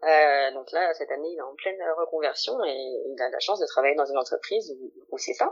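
At a fairly quick pace, a woman speaks with big swings in loudness. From France, Lyon. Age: 20s. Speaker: career coach, former HR manager. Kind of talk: interview testimony. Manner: hesitant, many fillers.

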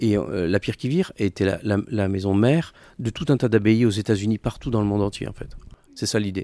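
Heard in a dry, close sound with no echo, a man speaks at a fairly low pitch with a dark, mellow tone. His pace is fairly quick, and his pitch varies in an ordinary way. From France, Clermont-Ferrand. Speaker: entrepreneur, consultancy co-founder. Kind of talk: interview.

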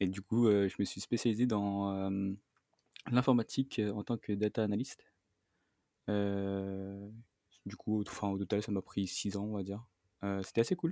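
In a dry, close sound with no echo, a man with a fairly low pitch talks at a fairly slow pace with fairly even intonation and long, frequent pauses. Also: very clean recording, silent background. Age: 20s. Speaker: interviewee sharing breakup story. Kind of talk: personal testimony interview. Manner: halting, many repetitions and fillers.

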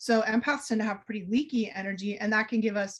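This woman has an unremarkable speaking voice with a fairly high pitch. Her intonation stays fairly even. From US Northeast, Boston area. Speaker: energy healer and author. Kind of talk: podcast interview.

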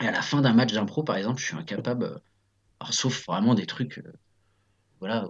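This man talks at a fairly quick pace with a medium pitch. His pitch varies an ordinary amount. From France, Nantes area. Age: 30s. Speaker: improv actor. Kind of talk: casual interview. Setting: remote call. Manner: hesitant, many fillers.

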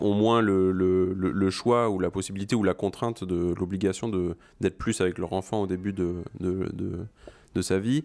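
On a very clean recording with a silent background, a man talks at a moderate pace in a very deep, low pitch with fairly even intonation. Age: 30s. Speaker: father on parental leave. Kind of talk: casual interview chat. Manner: halting, many hesitations.

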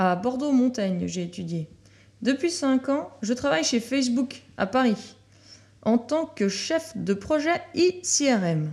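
A high-pitched female voice, very clean recording, silent background. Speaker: show announcer and chronicle writer. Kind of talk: scripted narration.

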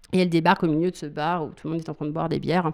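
A woman's very deep, low-pitched voice in a very clean recording with a silent background. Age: 30s. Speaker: burlesque dancer and school owner. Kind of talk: interview. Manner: halting.

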